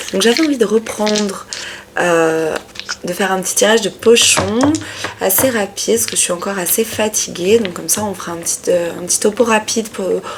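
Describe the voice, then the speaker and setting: Over noticeable background noise, a woman speaks at a fairly slow pace, her medium pitch showing ordinary pitch variation. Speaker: tarot reader. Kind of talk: tarot reading video. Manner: sometimes loud; hesitant, many fillers.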